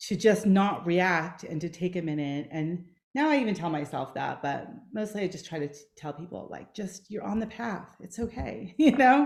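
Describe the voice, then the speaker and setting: Her loudness swinging widely, a woman speaks at a moderate pace and a medium pitch with very wide pitch swings. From Greek family background. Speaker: podcast host. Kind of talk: podcast interview.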